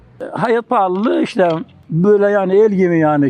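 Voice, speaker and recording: Here a man talks at a moderate pace. His pitch is high. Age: 70s. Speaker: retired spoon maker and market seller. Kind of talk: street interview. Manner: halting.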